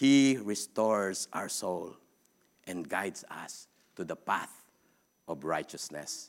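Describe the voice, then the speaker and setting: Speaking at a very slow pace with long, frequent pauses, a man with a Filipino accent uses a fairly low pitch and lively intonation in a very clean recording with a silent background. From Philippines. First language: Philippine language. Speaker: preacher. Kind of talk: sermon. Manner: halting.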